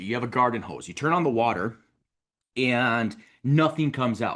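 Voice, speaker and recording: A fairly quick delivery with ordinary pitch variation, in a Wisconsin accent. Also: man, quiet background. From Wisconsin, US Upper Midwest. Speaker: mortgage coach and show host. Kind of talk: recorded show intro monologue. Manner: casual, conversational.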